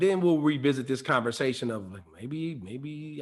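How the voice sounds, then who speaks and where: With an ordinary speaking voice, a man talks at a moderate pace, fairly high in pitch, his intonation lively. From Detroit. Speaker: actor and voice actor. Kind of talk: interview answer.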